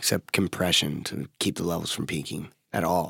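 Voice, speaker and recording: An American-accented man talks at a moderate pace with a very deep, low pitch. The very clean recording has a silent background and a dry, close sound with no echo. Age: 20s. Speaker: rock singer. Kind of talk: casual interview. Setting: studio.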